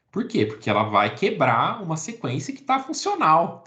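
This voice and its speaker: A man's voice comes through with audible echo from the room. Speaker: biology teacher. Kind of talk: lecture. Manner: animated.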